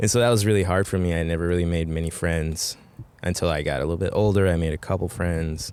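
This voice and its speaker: Speaking at a very fast pace with a Spanish accent, a man uses a very deep, low pitch and fairly even intonation. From Mexico. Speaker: brewer. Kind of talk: casual chat. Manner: relaxed, informal with swearing and fillers.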